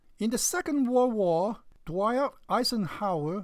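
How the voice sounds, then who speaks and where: A Chinese accent on a very clean recording with a silent background. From China. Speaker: religious video commentator. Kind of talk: response video argument.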